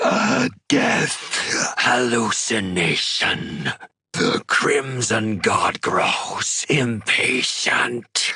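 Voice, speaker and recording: In a put-on character voice, the speaker rasps and hisses at a very slow pace. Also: man, medium pitch for a man. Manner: hissing.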